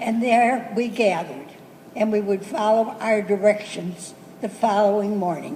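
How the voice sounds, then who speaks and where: A woman with an American accent, fairly high in pitch and with ordinary pitch variation, taking long, frequent pauses over noticeable background noise. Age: 80s+. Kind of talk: speech to students about school memories.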